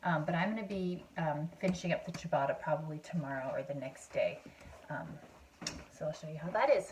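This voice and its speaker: A woman speaks quietly at a fairly quick pace, with big swings in loudness. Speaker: home cooking video host. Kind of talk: cooking tutorial. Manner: quieter, hushed; hesitant, many fillers.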